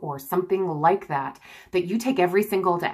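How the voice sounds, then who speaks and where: Ordinary pitch variation over a quiet background. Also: woman. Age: 30s. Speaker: mother vlogging about gastric balloon weight loss. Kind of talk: casual talk to camera. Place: home room. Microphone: phone near.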